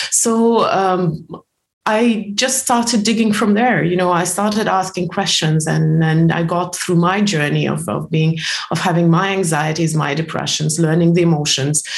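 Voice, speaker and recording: With audible room echo, a woman speaks at a moderate pace in a fairly low pitch, with ordinary pitch variation. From former Soviet Union. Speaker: personal development author and coach. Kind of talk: podcast interview. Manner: halting, many fillers.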